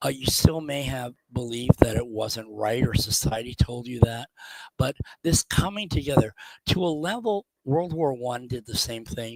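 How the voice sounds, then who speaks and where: An unremarkable speaking voice from a man, medium in pitch with ordinary pitch variation, at a moderate pace with big swings in loudness and a dry, close sound with no echo. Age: 60s. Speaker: genealogy speaker. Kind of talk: lecture. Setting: video call. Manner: conversational.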